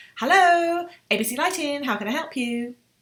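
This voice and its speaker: Using a put-on character voice, a woman speaks at a moderate pace with a high pitch in a raised, projected voice. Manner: rushed, very fast.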